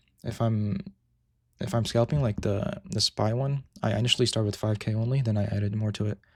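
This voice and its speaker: Somewhat breathy and fairly low-pitched, a man talks at a fairly quick pace with fairly even intonation. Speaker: day trader streaming live trades. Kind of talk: live stream tutorial with chat Q&A. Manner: casual, halting with repetitions.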